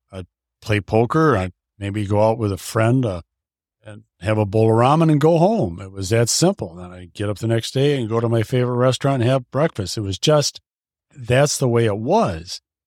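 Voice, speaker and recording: A man's normal speaking voice at medium pitch, with lively intonation, big swings in loudness and a moderate pace, in a very clean recording with a silent background and a dry, close sound with no echo. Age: 60s. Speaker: podcast guest, half of a couple. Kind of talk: casual interview chat.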